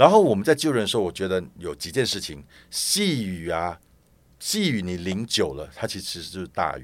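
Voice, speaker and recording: This man has an ordinary speaking voice, fairly low in pitch, with lively intonation and big swings in loudness. He keeps a moderate pace on a very clean recording with a silent background. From Malaysia. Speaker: pilgrimage support group organizer. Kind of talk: casual interview chat.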